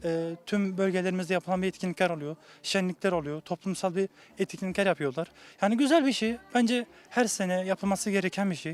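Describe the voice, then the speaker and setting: At a fairly quick pace, the voice moves with ordinary pitch variation. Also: man, high pitch for a man. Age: young. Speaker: association member. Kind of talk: interview.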